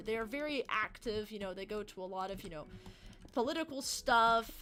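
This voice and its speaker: A woman's fairly quick speech with lively intonation. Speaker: livestreamer. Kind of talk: casual chat. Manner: fast.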